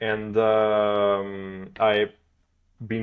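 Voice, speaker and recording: A man with a Portuguese accent and a fairly low pitch. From Portugal. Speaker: blockchain developer. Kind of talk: podcast interview. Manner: hesitant, many fillers.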